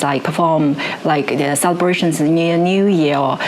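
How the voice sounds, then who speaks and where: A woman with a Chinese accent speaks at a moderate pace and fairly low pitch. There is audible room echo and noticeable background noise. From China. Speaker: musician and music researcher. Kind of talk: interview conversation. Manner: halting, with many fillers and restarts.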